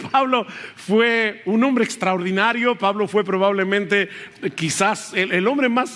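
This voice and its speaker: A man at high pitch with ordinary pitch variation and a moderate pace, amid noticeable background noise. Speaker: pastor. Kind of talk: sermon. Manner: loud at times.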